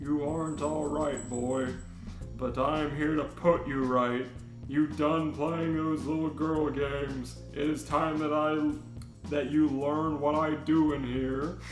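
Over loud music in the background, a man does a gruff, put-on character voice at a fairly high pitch and a fairly slow pace. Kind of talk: comic fanfic reading. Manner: gruff, stern.

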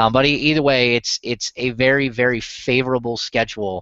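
A man talks at a moderate pace with a medium pitch and fairly even intonation. His tone is fairly bright.

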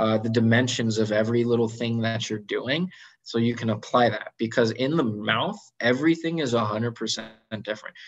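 Over a quiet background, a man with an American accent talks at a moderate pace with fairly even intonation. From California. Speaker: general dentist; guest. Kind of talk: online presentation with Q&A. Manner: casual with many fillers. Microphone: video call.

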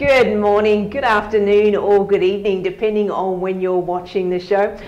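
Faint music plays in the background as a woman speaks at a moderate pace with monotone, flat intonation. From Australia. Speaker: real estate agent and host. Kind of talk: interview host on a real estate video show. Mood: warm, cheerful. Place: office. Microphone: lapel.

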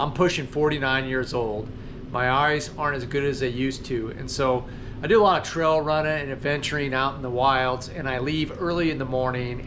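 The man keeps to a moderate speed and fairly even intonation while noticeable noise carries on behind him. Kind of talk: casual vlog chat. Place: garage. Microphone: phone near.

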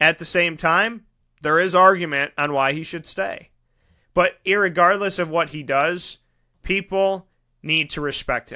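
In a very clean recording with a silent background, a man's voice sounds fairly high-pitched with a bright, sharp tone. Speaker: sports talk show host. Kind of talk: casual talk show and interviews. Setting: studio. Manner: animated.

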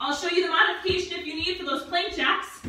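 A woman speaks in a raised, projected voice, with strong room echo and light background noise. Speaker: fitness instructor. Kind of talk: workout instruction. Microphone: camera far.

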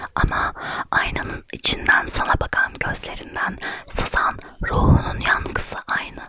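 Whispering, a woman speaks at a fairly slow pace. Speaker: ASMR creator and blogger. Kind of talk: ASMR blog reading, essay read aloud. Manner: soft, whispered. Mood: reflective, melancholic. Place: home room. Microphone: studio mic.

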